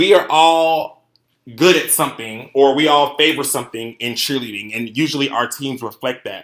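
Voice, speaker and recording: Here a man talks at a moderate pace with a fairly high pitch. His tone is animated and his pitch variation is ordinary. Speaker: cheerleading coach. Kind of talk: conference presentation. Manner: loud.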